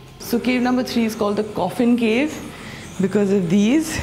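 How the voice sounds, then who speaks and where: With faint music in the background, a woman talks at a moderate pace with ordinary pitch variation. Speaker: travel vlogger. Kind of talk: casual vlog chat. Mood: awed, excited. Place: tunnel cave. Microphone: lapel.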